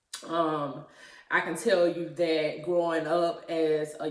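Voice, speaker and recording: A woman's fairly low-pitched voice with audible room echo. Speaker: YouTuber. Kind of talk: personal testimony. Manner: hesitant, many fillers.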